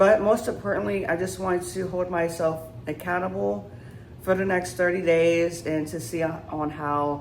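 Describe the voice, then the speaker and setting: With lively intonation, a woman speaks at a fairly slow pace and a fairly low pitch amid audible room echo. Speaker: vlogger. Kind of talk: casual vlog to camera. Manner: unscripted, halting with fillers.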